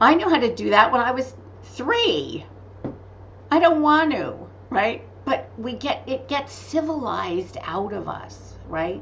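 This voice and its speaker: Animated in tone, a woman speaks at a fairly slow pace amid audible room echo and noticeable background noise. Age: 60s. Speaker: author and medical intuitive. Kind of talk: interview.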